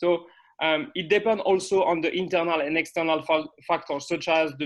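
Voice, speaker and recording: A man with a French accent speaks at a moderate pace in a fairly high pitch, his intonation monotone and flat. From France. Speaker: sports scientist. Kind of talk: conference presentation. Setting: video call. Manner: halting.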